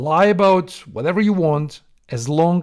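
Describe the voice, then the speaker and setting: A man with a Russian accent speaks at a fairly slow pace, with ordinary pitch variation. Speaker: software developer podcast host. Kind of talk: Q&A podcast monologue.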